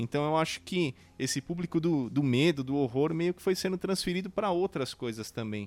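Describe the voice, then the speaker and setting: A man with a normal speaking voice, fairly high in pitch, with lively intonation, big swings in loudness and a moderate pace, in a dry, close sound with no echo. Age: 40s. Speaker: podcast host. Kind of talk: casual interview.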